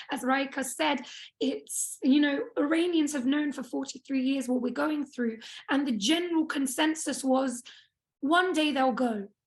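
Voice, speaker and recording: A woman speaks with a British accent at a high pitch. Her pace is moderate, with ordinary pitch variation. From England, small town. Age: 20s. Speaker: activist speaker. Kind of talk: personal testimony talk.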